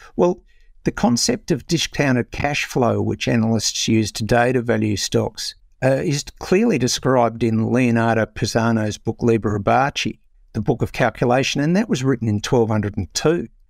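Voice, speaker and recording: A man with an Australian accent speaks at a medium pitch and a moderate pace, with ordinary pitch variation and very even loudness. The recording is very clean and silent in the background, with a dry, close sound and no echo. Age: 60s. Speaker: author and investor. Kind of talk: interview.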